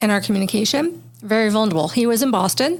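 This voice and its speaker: An unremarkable speaking voice: a woman with an American accent, lively intonation and a fairly quick pace. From California. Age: 50s. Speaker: podcast host. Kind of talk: casual chat.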